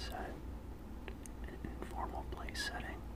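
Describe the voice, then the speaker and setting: Loud background noise accompanies speech delivered at a fairly slow pace. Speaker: ASMR video creator. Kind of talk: ASMR etiquette lesson. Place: home room.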